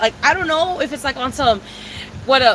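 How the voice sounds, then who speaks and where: The speech moves at a very fast pace with lively intonation. Background noise is noticeable. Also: woman. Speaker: livestreamer. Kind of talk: casual chat.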